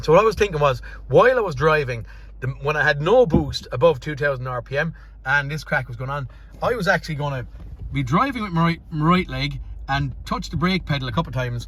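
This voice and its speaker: In an Irish accent, a man talks at a very fast pace. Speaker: car mechanic. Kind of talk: workshop vlog, thinking aloud. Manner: unscripted, some stumbles.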